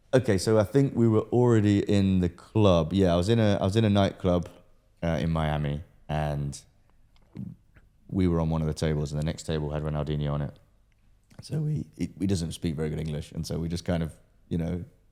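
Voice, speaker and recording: Speaking with a British accent, a man with a very deep, low voice and a dark, mellow tone moves at a fairly quick pace with lively intonation and long, frequent pauses. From Britain. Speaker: entrepreneur and pro boxer. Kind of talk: casual interview.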